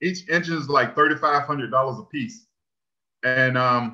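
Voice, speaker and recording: A man with an American accent, a fairly high pitch and a bright, sharp tone. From northeastern North Carolina (Elizabeth City); North Carolina. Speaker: engineering technician; presenter. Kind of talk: presentation. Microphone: webcam.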